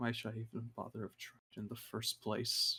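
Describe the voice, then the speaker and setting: A man puts on a character voice, whispering. It is breathy and moves at a moderate pace. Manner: stage whisper, loud and breathy.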